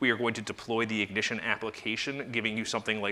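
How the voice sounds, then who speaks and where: This is a man speaking at a medium pitch. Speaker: software company presenter. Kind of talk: conference product demo presentation. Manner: fast.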